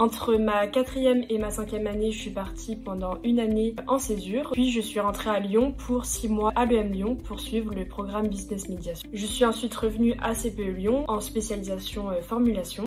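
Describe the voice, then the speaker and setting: A woman speaks at a moderate pace and fairly high pitch, with fairly even intonation and hardly any pauses, over noticeable background noise. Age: 20s. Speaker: engineering student. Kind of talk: testimony. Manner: hesitant with fillers.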